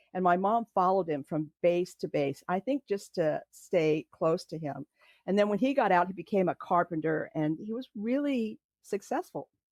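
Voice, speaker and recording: A woman's medium-pitched voice in a Californian accent, with lively intonation at a moderate pace, dry and close with no echo against a quiet background. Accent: General American (Californian). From California, Los Angeles area. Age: 60s. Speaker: podcast guest telling her family story. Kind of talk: personal testimony in interview. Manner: halting, many fillers.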